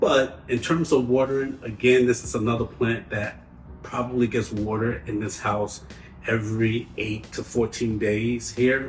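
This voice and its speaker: A man with a New York accent talks fairly slowly at a medium pitch, keeping his intonation fairly even. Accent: heavy New York. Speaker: plant care youtuber. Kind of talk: tutorial. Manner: casual, conversational.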